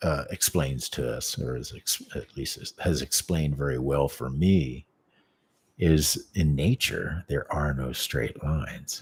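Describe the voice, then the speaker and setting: The voice is somewhat breathy and moves at a very slow pace. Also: man. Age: 50s. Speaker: martial arts teacher. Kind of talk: casual chat. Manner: halting.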